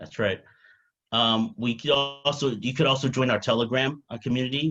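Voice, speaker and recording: Fairly even intonation marks a man's talk at a fairly quick pace. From New York. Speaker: crypto company CEO. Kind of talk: interview. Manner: fast.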